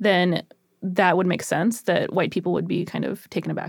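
A woman with a plain, everyday voice, medium pitch and a moderate pace. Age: 30s. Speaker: teacher and podcast co-host. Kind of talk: casual chat.

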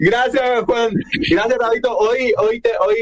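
Fairly even intonation from a man over noticeable background noise. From Paraguay. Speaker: radio host. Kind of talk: radio interview. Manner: halting.

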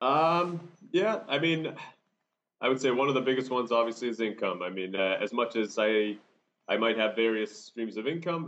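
In an American accent, a man uses an ordinary speaking voice with lively intonation at a moderate pace. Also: medium pitch for a man. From United States. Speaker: long-term traveler and travel blogger. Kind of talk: interview. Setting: remote audio call.

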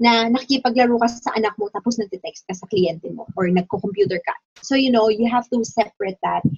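Speaking at a very fast pace, a woman with a fairly high, somewhat breathy voice shows ordinary pitch variation in a dry, close recording with no echo. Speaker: work-at-home mom and online teacher. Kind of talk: casual interview chat.

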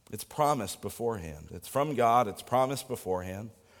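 Male voice with vocal fry and very wide pitch swings. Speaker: pastor. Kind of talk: sermon. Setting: church.

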